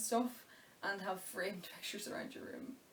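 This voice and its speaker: A woman with a Donegal accent, medium-pitched, at a moderate pace. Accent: Donegal Irish. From Ireland. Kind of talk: casual talk to camera. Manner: chatty, informal.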